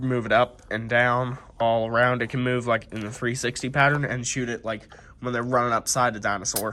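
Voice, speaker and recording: A man speaks at a moderate pace with a medium pitch. There is noticeable background noise behind him. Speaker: toy reviewer. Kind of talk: casual toy review to camera.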